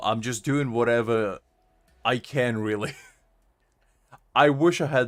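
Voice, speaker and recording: Music in the background behind a man at medium pitch, fairly slow, with ordinary pitch variation. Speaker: streamer voicing game characters. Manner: casual, self-deprecating.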